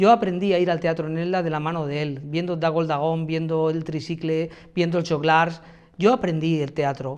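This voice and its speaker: The man speaks at a moderate pace with a fairly high pitch. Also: fairly even intonation. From Spain, Elda (Alicante, Valencian region). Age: 40s. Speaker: mayoral candidate, university professor. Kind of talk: interview answers. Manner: hesitant, many fillers.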